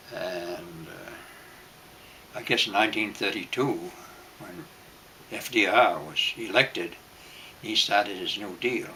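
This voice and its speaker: Speaking with an American accent at a fairly slow pace, a man leaves long, frequent pauses, his loudness swinging widely over noticeable background noise. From Maine, US. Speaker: World War Two veteran. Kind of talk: oral history interview. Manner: halting, with frequent fillers.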